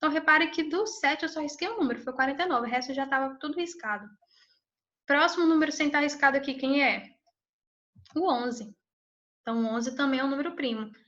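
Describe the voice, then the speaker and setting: A woman's high, bright, sharp voice at a very fast pace, with ordinary pitch variation, long and frequent pauses, and audible room echo. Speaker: math teacher. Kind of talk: lecture.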